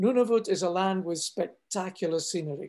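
Against a quiet background, a man talks in a high pitch with lively intonation. His tone is dark and mellow. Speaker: polar expedition leader. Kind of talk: presentation. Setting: video call. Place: home room. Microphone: webcam.

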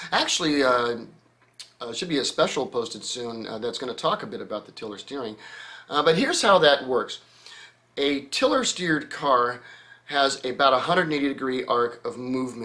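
Big swings in loudness mark this bright, sharp voice, which moves at a fairly quick pace with ordinary pitch variation. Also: man. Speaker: show host. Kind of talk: Q&A commentary. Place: home room.

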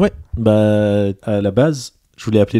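The recording is very clean, with a silent background and a dry, close sound with no echo. A man speaks with a fairly low pitch, a dark, mellow tone and fairly even intonation. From Lebanon. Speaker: psychologist and author. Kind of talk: casual chat.

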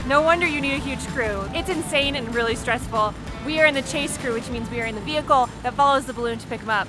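A woman speaks at a very fast pace in a raised, projected voice with ordinary pitch variation, the sound dry with no echo and clear music playing in the background. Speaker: travel vlogger. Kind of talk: casual vlog chat. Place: open country. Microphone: phone near.

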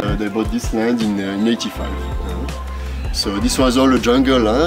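A fairly low-pitched man at a moderate pace, with clear music in the background. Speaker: plantation tour guide. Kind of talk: tour guide explanation. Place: garden. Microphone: camera far.

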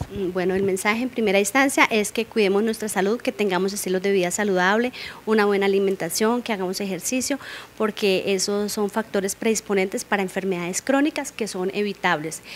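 A woman at a fairly quick pace, ordinary pitch variation, and light background noise. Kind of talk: interview answer. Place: studio. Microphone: handheld.

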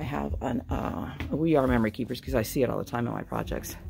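Amid light background noise, a woman speaks at a very fast pace. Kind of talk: casual vlog chat. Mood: excited, delighted browsing. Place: shop. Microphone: phone near.

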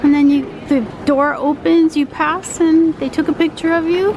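A high-pitched woman's voice, dry and echo-free, over noticeable background noise. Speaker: travel vlogger. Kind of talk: casual vlog chat. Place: shop. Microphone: phone near.

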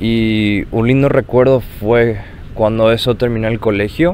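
A man talks at a very slow pace in a fairly low pitch with ordinary pitch variation, over noticeable background noise. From Paraguay. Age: 20s. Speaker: university student, grandson. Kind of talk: personal recollection.

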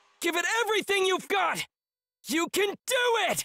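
The speaker uses a put-on character voice and keeps a moderate pace. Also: woman, extremely high pitch for a woman. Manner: urging, energetic.

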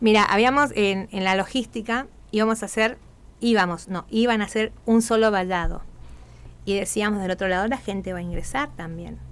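A woman at a moderate pace with fairly even intonation. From Argentina, Corrientes; Argentina. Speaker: carnival troupe leader; radio guest. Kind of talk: radio interview. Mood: happy, emotional. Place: studio. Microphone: studio mic.

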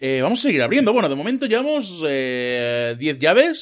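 At a moderate pace, a man with a fairly high voice speaks with very wide pitch swings. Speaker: gaming youtuber. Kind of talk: gameplay commentary. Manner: animated.

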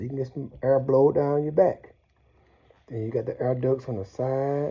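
Against a quiet background, a man speaks somewhat breathily at a moderate pace. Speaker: product reviewer. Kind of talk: casual unboxing commentary. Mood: enthusiastic. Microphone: phone near.

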